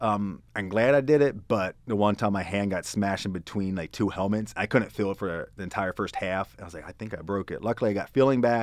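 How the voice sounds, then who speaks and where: A man with an American accent speaks at a fairly quick pace in a fairly low pitch with ordinary pitch variation. The sound is dry with no echo, over a quiet background. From Pennsylvania (Hanover). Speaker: user experience designer. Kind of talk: casual chat. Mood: relaxed, storytelling. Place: meeting room. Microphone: studio mic.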